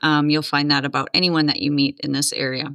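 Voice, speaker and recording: Heard in a dry, close recording with no echo, a woman with an American accent has a very deep, low pitch and a bright, sharp tone. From Minnesota (Duluth, northern). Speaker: podcast guest. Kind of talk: interview conversation. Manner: many fillers (um, uh).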